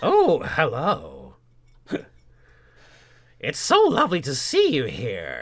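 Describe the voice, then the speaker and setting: A man performs a put-on character voice at a very slow pace. Long, frequent pauses break up his speech. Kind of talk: casual podcast talk. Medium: role play.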